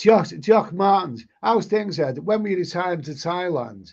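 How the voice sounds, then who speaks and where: A man with a high pitch and a Liverpool accent, at a fairly slow pace. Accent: Liverpool (Scouse). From northern England, Liverpool. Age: 60s. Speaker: travel vlogger. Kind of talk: live stream chat reading. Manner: loud; halting.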